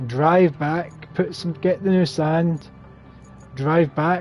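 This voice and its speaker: Music plays behind a man with a strong Scottish accent. His fairly high pitch stays on a fairly even intonation. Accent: thick Scottish. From Scotland. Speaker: gaming streamer. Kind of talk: live gameplay commentary. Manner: casual, chatty.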